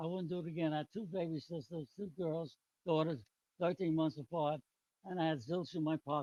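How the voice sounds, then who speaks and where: A New York accent at a moderate pace, with ordinary pitch variation and a dry, close sound with no echo. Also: man. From New York City, the Bronx. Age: 90s. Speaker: retired businessman and army veteran. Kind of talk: public hearing testimony. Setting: public hearing with audience.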